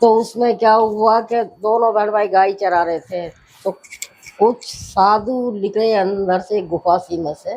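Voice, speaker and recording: Ordinary pitch variation runs through a dark, mellow tone. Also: woman. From Rajasthan, India. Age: 70s. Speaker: elderly storyteller. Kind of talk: storytelling interview.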